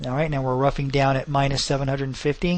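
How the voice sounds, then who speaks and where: This is a man's voice. His pitch is fairly high. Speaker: software tutorial presenter. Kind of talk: tutorial. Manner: fast.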